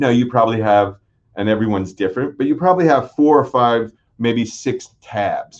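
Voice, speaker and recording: Lively intonation from a man at a fairly quick pace. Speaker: digital marketing agency owner; webinar presenter. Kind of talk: webinar presentation. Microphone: webcam.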